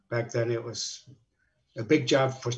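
In a somewhat breathy, medium-pitched voice, a man speaks with monotone, flat intonation. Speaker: retired construction company president. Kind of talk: interview.

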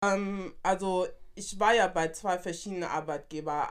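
An unremarkable speaking voice belongs to this woman. She talks at a moderate pace and medium pitch. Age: 20s. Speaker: flight attendant. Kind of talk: casual chat.

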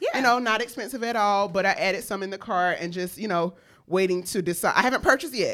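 Animated in tone, a woman at medium pitch talks very fast with ordinary pitch variation. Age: 40s. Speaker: podcast co-host. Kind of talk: casual chat.

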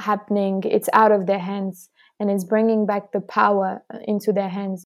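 On a very clean recording with a silent background, a woman in a French accent speaks at a medium pitch with monotone, flat intonation. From France. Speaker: student climate activist. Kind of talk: interview.

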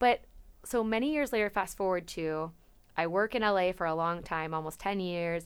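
On a very clean recording with a silent background, a woman with an American accent uses an unremarkable speaking voice at a medium pitch, with ordinary pitch variation and a moderate pace. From Napa, California. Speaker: podcast co-host. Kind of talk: casual chat.

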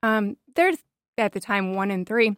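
Recorded very cleanly against a silent background, a woman with a normal speaking voice talks at a medium pitch and moderate pace with ordinary pitch variation. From US South. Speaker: missionary. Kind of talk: casual chat.

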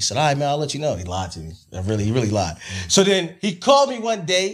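In a very clean recording with a silent background, a man with an American accent talks at a very fast pace with a fairly high pitch and very wide pitch swings. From New Jersey, East Orange. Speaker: studio owner. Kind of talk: casual chat.

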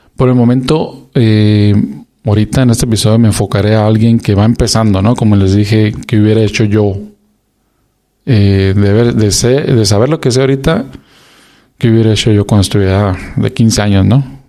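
At a moderate pace, a man with a dark, mellow tone and fairly low pitch speaks with fairly even intonation and very even loudness. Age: 40s. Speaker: podcast host. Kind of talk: solo casual monologue.

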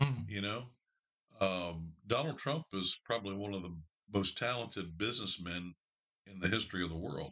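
Pausing long and often, a man speaks at a moderate pace with a fairly low pitch, a bright, sharp tone, lively intonation and big swings in loudness. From Northern Kentucky (Cincinnati area). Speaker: sports fan guest. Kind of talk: casual chat.

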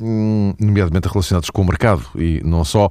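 Captured in a very clean recording with a silent background, a man with a very deep, low pitch speaks at a moderate pace. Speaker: radio host. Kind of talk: casual chat.

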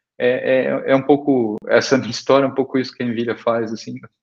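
Speaking at a moderate pace, the man keeps a medium pitch with ordinary pitch variation. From Brazil, São Paulo state interior (Araraquara). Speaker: tech company founder and CEO. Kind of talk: interview. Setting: live video stream. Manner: halting, many repetitions.

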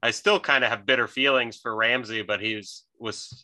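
A man speaks at a moderate pace in a medium pitch, his bright, sharp tone held to a flat monotone against a quiet background. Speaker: podcast host. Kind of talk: casual sports banter.

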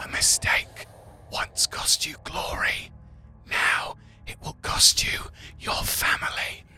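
A raspy, put-on character voice delivers its lines at a fairly slow pace. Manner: menacing, ominous.

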